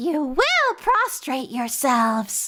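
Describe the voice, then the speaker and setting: A soft-spoken, female-sounding put-on character voice. It is shrill and high in pitch. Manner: commanding.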